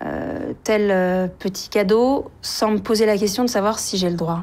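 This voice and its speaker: The speaker moves at a fairly slow pace. Intonation stays fairly even. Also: woman. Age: 40s. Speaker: writer and journalist. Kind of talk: interview testimony. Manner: halting, many hesitations.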